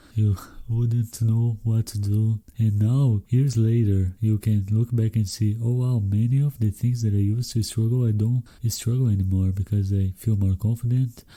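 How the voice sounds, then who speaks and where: A man with a Brazilian accent, medium in pitch and dark, mellow in tone, somewhat breathy, at a moderate pace, with monotone, flat intonation and very even loudness. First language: Brazilian Portuguese. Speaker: podcast host. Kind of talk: solo podcast monologue.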